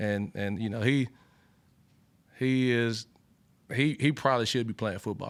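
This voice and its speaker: A man with an Alabama accent, medium pitch, moderate pace and monotone, flat intonation, on a very clean recording with a silent background. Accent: Alabama Southern. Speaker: college football cornerbacks coach. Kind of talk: press conference Q&A. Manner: many fillers and repeated words.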